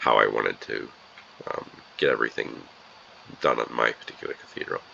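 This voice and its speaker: Noise is noticeable in the background. A man talks through it. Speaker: Minecraft builder. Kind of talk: tutorial narration. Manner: hesitant, many fillers.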